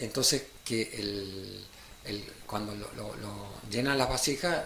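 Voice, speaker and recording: A man's fairly low-pitched voice with a bright, sharp tone, ordinary pitch variation and a very slow pace, plus audible room echo. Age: 70s. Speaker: guest speaker. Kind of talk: casual chat. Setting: radio studio. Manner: halting, many fillers.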